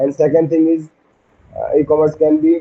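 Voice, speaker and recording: A man with an Indian accent, fairly even intonation and a moderate pace. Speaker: SSB aspirant giving a practice lecturette. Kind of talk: practice lecturette. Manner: halting, many fillers and restarts.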